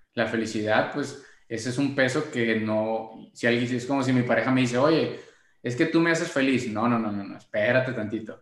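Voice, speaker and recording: In a room with audible echo, a man talks at a moderate pace with medium pitch and fairly even intonation. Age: 20s. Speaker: podcast co-host. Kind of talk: casual chat.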